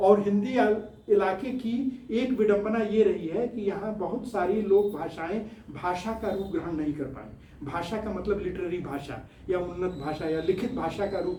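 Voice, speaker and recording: A man with a Bihari accent speaks at a high pitch, with ordinary pitch variation. Audible room echo and noticeable background noise surround him. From Bihar, India (village). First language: Bhojpuri (speaking Hindi). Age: 70s. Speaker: scientist and social-political activist. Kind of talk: studio interview talk. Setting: studio.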